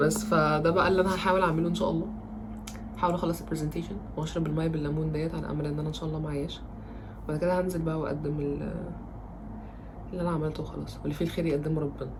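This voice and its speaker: A woman's very deep, low voice in monotone, flat intonation at a very fast pace, broken by long, frequent pauses, with audible room echo and noticeable background noise. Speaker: student vlogger. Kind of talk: vlog. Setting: home.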